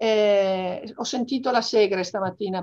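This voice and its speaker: Ordinary pitch variation in a woman's speech, set against a quiet background. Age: 60s. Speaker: business executive and association vice president; interviewee. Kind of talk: interview. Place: home room. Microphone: video call.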